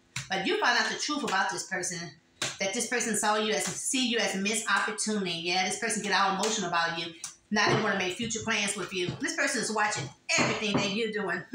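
Speech comes at a very fast pace. There is audible room echo along with noticeable background noise. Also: woman, ordinary pitch variation. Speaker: tarot reader. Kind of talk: tarot reading monologue. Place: home room. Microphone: phone near.

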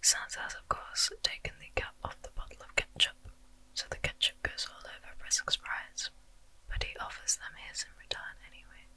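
Whispering female voice with big swings in loudness. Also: moderate pace. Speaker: ASMR creator. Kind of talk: ASMR storytelling. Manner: whispered. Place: home room. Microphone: studio mic.

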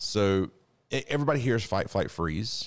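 With ordinary pitch variation, a man talks at a fairly slow pace. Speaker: podcast co-host, self defense instructor. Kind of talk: podcast conversation. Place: studio. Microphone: studio mic.

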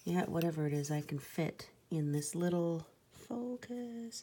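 The voice is soft-spoken. Light background noise can be heard. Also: woman. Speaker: crafter. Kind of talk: casual talk to camera. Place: home room. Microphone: phone near.

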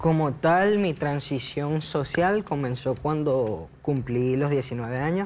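A man speaks at a very slow pace with hardly any pauses, at a fairly high pitch with ordinary pitch variation. His loudness stays very even over light background noise. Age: 20s. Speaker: transgender man sharing his story; talk show guest. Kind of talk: TV talk show interview. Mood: reflective, personal. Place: studio. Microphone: lapel.

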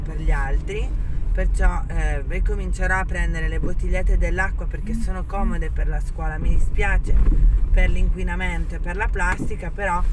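A woman at a moderate pace, with loud background noise. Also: dry sound with no echo. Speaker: family vlogger driving. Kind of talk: casual vlog chat. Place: car. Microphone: phone near.

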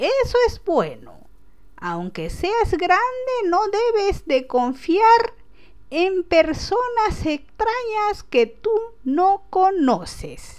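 A put-on character voice moves very slowly through very wide pitch swings. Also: woman, extremely high pitch for a woman. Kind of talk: prank phone call character. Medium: solo performance. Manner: warm, gentle, affectionate.

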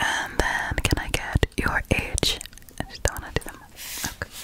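A soft-spoken woman whispers at a moderate pace, with big swings in loudness. The sound is dry with no echo, over light background noise. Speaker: ASMR creator. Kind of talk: ASMR whisper role-play and sponsor talk. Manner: soft close-mic ASMR whisper. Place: home room. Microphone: studio mic.

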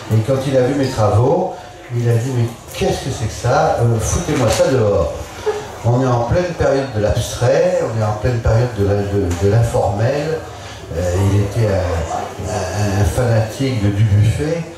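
A man speaks at a fairly slow pace with lively intonation. There is strong room echo and noticeable background noise. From Bourbonnais, central France. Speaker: painter. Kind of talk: panel discussion. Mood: relaxed storytelling. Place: tent.

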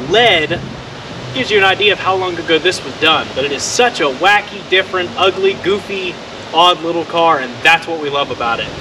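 A man with a high pitch and ordinary pitch variation talks at a fairly quick pace over noticeable background noise. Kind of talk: casual vlog chat. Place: street. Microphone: camera far.

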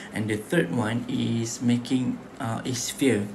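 A man speaks at a medium pitch with fairly even intonation. Noticeable background noise can be heard. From Malaysia. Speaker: student; presenter. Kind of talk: class presentation. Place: home room. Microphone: webcam.

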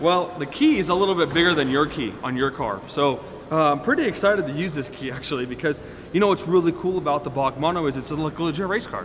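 Over faint background music, a man talks at a very fast pace with ordinary pitch variation. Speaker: car rental business owner vlogger. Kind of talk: casual vlog chat. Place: garage. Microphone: camera far.

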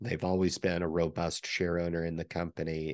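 A man speaks at a moderate pace in a very deep, low pitch, his intonation monotone and flat. The sound is dry with no echo over a quiet background. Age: 40s. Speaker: stock market YouTuber; stock commentator. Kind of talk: solo video commentary. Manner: many filler words and hesitations. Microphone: studio mic.

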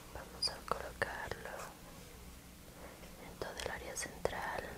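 There is loud background noise as a woman whispers. Her tone is gentle and her pace fairly slow. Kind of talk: soft explanatory narration during a massage. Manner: gentle whispered narration. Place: home room. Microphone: lapel.

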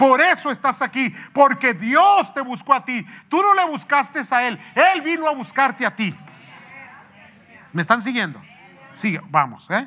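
A man speaks at a fairly slow pace with long, frequent pauses, his voice raised and projected. His pitch is extremely high, with very wide swings and a bright, sharp tone. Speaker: pastor. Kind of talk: sermon. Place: church.

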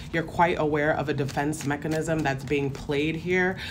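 The intonation stays fairly even over noticeable background noise. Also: woman. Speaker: tarot reader. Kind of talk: tarot reading commentary.

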